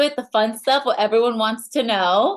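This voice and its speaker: A woman with a Latin American accent speaks at a fairly high pitch. The background is quiet. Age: 30s. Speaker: network marketing leader. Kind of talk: sales pitch.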